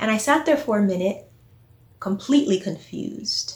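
With an American accent, a woman speaks in an unremarkable speaking voice at a moderate pace, her fairly high pitch carried by lively intonation. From Texas, near Houston. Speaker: listener storyteller. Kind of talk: personal storytelling.

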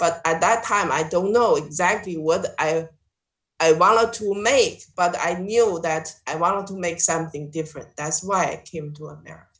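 Her loudness swings widely as a woman speaks at a moderate pace. Her voice is fairly low, with ordinary pitch variation. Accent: Chinese. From China. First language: Chinese. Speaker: visual artist. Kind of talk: interview. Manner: halting, with fillers.

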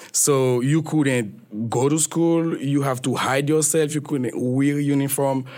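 A man's fairly high voice at a fairly slow pace, with ordinary pitch variation and noticeable background noise. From Haiti, Petit-Goâve. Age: 20s. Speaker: journalist. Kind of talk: interview.

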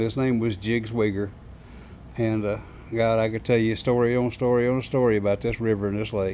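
A man talks with a Southern US accent. His pace is fairly quick. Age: 70s. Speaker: bait shop owner and fisherman. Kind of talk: casual interview storytelling.

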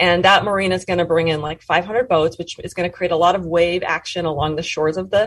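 Speaking at a fairly quick pace, a woman with an American accent keeps a fairly even intonation. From Montana, US. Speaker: sociology professor and author. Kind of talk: interview.

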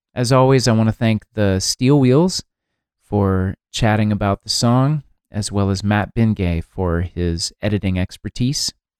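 In a very clean recording with a silent background and a dry, close sound with no echo, a man with an ordinary speaking voice talks at a fairly slow pace, with fairly low pitch and ordinary pitch variation. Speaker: podcast host and songwriter. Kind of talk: podcast hosting, interview narration.

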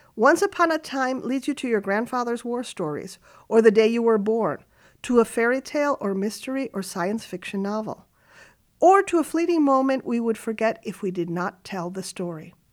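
In a very clean recording with a silent background, a woman with a fairly high pitch talks at a moderate pace, her pitch swinging very widely. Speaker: radio commentator. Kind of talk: scripted radio essay with dramatic, storytelling narration. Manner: formal, reflective.

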